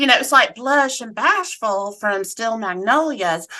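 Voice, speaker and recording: A woman with a slight Southern US accent speaks at a fairly high pitch with very wide pitch swings. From US South, Atlanta, Georgia. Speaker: cancer survivor and advocate. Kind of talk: casual interview chat.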